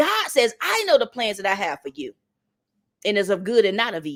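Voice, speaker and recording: A woman in an American accent, animated in tone and fairly quick in pace. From North Carolina. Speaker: motivational speaker. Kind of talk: motivational talk.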